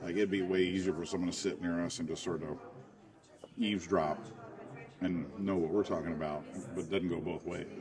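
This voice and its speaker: Over music in the background, the speaker moves at a fairly quick pace in a monotone, flat intonation, broken by long, frequent pauses. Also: man, very deep, low pitch for a man. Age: 40s. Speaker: comedy podcast host. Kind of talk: casual chat.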